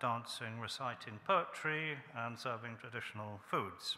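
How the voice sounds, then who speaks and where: A man's medium-pitched voice, a plain, everyday voice. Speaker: archaeologist and ancient historian. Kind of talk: introductory talk to an audience. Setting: event hall with audience. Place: hall. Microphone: podium.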